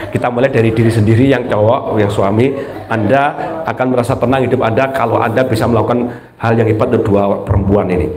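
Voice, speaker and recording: The speech moves at a very fast pace with very even loudness. Noticeable background noise and audible room echo fill the recording. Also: man, medium pitch for a man. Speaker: Islamic preacher. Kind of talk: religious study talk. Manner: animated.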